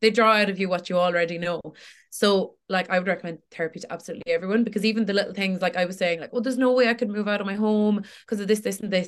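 At a very fast pace, a woman speaks with a Tipperary accent and a medium pitch. Her intonation is fairly even, and the background is quiet. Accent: Irish (Tipperary). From Ireland, Tipperary. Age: 20s. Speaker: social media creator. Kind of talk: casual chat.

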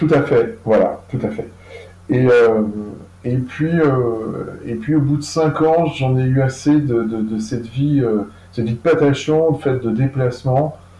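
At a very slow pace, a man speaks in a dark, mellow, somewhat breathy voice of medium pitch with ordinary pitch variation. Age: 50s. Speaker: food traceability platform founder. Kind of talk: interview. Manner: halting, frequent repetitions and fillers.

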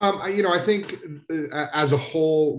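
The pace here is fairly slow, with ordinary pitch variation. It is an unremarkable speaking voice. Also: man. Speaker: healthcare organization capital projects manager. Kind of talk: panel discussion. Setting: video call.

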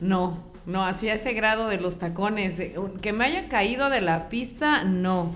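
Amid noticeable background noise and audible room echo, a woman with a Mexican accent speaks at a fairly slow pace. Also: medium pitch for a woman, ordinary pitch variation. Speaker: guest on comedy podcast. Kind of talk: casual chat.

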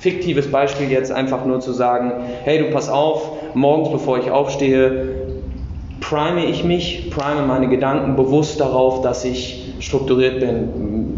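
A man's medium-pitched voice at a fairly slow pace with fairly even intonation, audible room echo and noticeable background noise. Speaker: podcast host. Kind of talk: casual interview. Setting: gym weight room.

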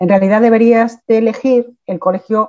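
A woman talks with fairly even intonation in an unremarkable speaking voice. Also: dry, close sound with no echo. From Asturias, Spain (from age 11; born in Mexico). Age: 50s. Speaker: teacher. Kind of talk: interview.

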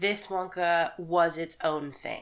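A woman's medium-pitched voice with a Texan accent, at a very slow pace. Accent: Texan American. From Texas. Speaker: podcast co-host, nurse. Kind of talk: casual chat.

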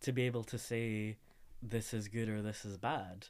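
The speaker has a Scottish accent and a moderate pace. The recording is very clean, with a silent background. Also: man. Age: 20s. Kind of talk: interview.

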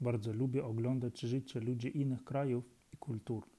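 A dark, mellow tone in a Ukrainian accent, with monotone, flat intonation. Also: man. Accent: Ukrainian accent in Polish. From Ukraine. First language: Ukrainian (speaking Polish). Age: 30s. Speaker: Polish language learner. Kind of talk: reading aloud. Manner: halting.

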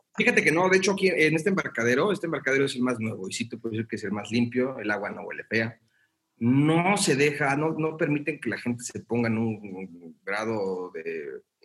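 At a fairly quick pace, a man's medium-pitched voice moves through very wide pitch swings. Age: young. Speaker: theatre producer. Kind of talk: casual chat.

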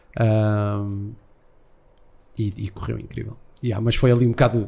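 Speaking at a fairly slow pace, a man with a fairly low pitch and a dark, mellow tone keeps his intonation fairly even, leaving long, frequent pauses. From Portugal, Algarve. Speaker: MC and actor. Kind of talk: casual interview chat. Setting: live show with small audience at breakfast venue.

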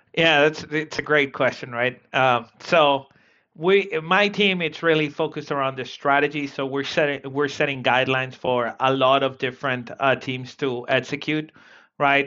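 A man with a Spanish accent, fairly high-pitched, at a moderate pace and with fairly even intonation. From South America. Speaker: sales operations leader. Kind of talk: interview. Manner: halting, many repetitions.

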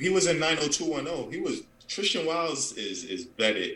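Big pitch swings mark a bright, sharp voice moving at a moderate pace. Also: man, fairly high pitch for a man.

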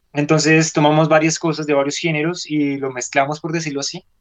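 Speaking very fast, a man keeps a fairly high pitch in a monotone, flat delivery. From Colombia. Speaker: rock musician. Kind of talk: radio interview. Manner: hesitant, many filler sounds.

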